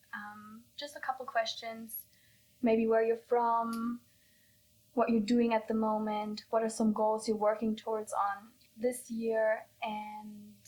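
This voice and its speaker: This woman's voice is somewhat breathy and fairly high in pitch. She speaks very slowly with monotone, flat intonation. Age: 20s. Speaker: podcast host. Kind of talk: casual interview.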